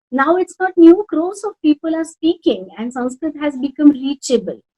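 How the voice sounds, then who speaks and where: A woman with a Rajasthani accent and a high-pitched voice of dark, mellow tone, lively intonation, big swings in loudness and a moderate pace, in dry, close sound with no echo. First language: Marwari. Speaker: Sanskrit teacher and language academy founder. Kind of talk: interview. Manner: halting.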